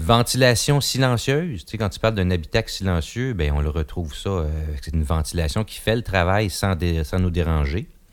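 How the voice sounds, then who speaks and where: A man speaks in a Quebec accent with a very deep, low pitch and lively intonation. The recording is very clean, with a silent background. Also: moderate pace. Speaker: car review podcast host. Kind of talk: casual car review discussion.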